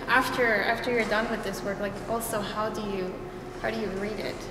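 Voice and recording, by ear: A woman speaks at a medium pitch and a fairly quick pace, with fairly even intonation. Background noise is clearly audible.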